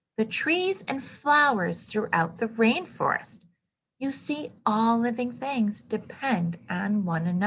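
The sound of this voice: The quiet background leaves room for an unforced reading voice whose intonation is lively.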